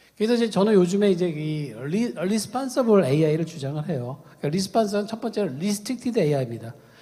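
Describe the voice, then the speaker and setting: The voice has a dark, mellow tone and moves at a very fast pace with hardly any pauses. Its pitch swings very widely. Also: man, high pitch for a man. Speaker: ethics professor. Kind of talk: conference talk. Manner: halting, many fillers.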